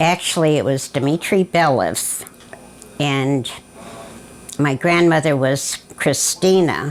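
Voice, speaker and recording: A woman with an American accent, a very deep, low pitch and ordinary pitch variation. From US Midwest, southwest Detroit, Michigan. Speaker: family elder interviewee. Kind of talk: oral history interview. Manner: halting, many fillers.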